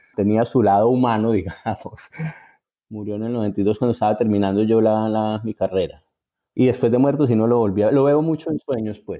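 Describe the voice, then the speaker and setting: A man speaks with a paisa accent. His intonation stays fairly even. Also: medium pitch for a man, moderate pace. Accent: paisa Colombian accent, intact. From Colombia, Envigado (Antioquia). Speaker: writer. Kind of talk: interview. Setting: at home. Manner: halting.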